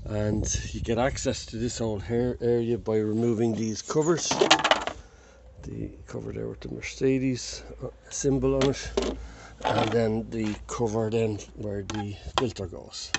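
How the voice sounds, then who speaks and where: Against loud background noise, a man speaks fairly slowly in a dry recording with no echo. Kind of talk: tutorial. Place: street. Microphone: phone near.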